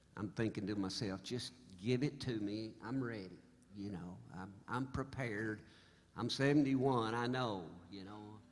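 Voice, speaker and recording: A man's fairly low voice with an American accent, ordinary pitch variation, and a moderate pace, with audible room echo. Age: 70s. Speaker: singer-songwriter. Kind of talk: stage banter. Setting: stage with audience. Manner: halting; animated.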